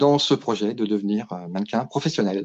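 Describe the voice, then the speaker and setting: Intonation is lively. The pace is fairly slow. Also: man. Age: 50s. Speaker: fashion model. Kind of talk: interview. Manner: hesitant, many fillers.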